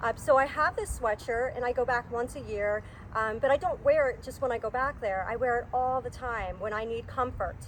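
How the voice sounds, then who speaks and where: A woman talks at a fairly quick pace with a strong New Jersey accent. Her pitch is high, with ordinary variation. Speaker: counselor. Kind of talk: casual chat.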